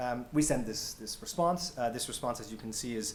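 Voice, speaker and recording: A man's medium-pitched voice with an American accent at a fairly quick pace, ordinary pitch variation and audible room echo. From United States. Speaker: health tech company founder. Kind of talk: panel presentation. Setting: stage with audience. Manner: hesitant, many fillers.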